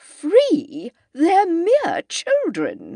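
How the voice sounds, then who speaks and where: Using a put-on character voice, a woman speaks at an extremely high pitch with very wide pitch swings, the sound dry and close with no echo. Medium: read story. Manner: curt, disapproving.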